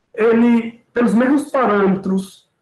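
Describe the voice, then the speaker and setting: With ordinary pitch variation, a man speaks high in pitch. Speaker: professor. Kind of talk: lecture. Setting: video call.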